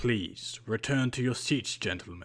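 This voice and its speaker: A man's put-on character voice, croaky and medium in pitch, at a fairly slow pace with ordinary pitch variation. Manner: murmuring, barely moving lips.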